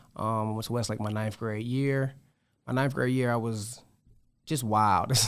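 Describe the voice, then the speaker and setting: In an ordinary speaking voice, a man with medium pitch talks at a moderate pace with fairly even intonation on a very clean recording with a silent background. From metro Atlanta, Georgia (moved from New York at seven). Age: 30s. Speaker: activist and businessman. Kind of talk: casual interview.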